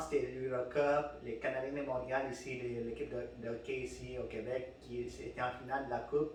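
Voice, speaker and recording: A man speaks over noticeable background noise. Room echo is audible. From Peru. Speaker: podcast host. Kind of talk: casual chat. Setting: studio with microphones. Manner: halting, many fillers and repeats.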